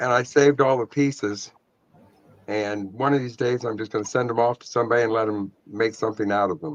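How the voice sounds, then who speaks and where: Here is a man with a normal speaking voice at a medium pitch. He talks fairly quickly with fairly even intonation. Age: 60s. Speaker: antique glass collector. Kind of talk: casual chat.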